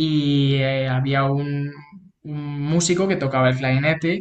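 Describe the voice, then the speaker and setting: A normal speaking voice comes through with fairly even intonation. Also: man. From Spain, Toledo. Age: 20s. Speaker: clarinetist. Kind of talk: interview.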